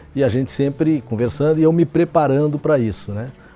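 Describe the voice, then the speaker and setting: The speaker is a man with lively intonation. He moves along at a fairly quick pace. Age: 60s. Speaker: football coach. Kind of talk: interview. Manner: halting, frequent fillers and repetitions.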